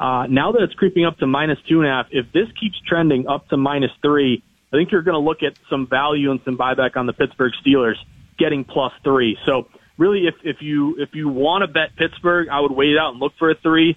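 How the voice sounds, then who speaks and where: Using an ordinary speaking voice, a man talks at a fairly quick pace. His pitch is fairly high, with ordinary pitch variation. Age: 30s. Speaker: sports betting reporter and author. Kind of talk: casual radio interview.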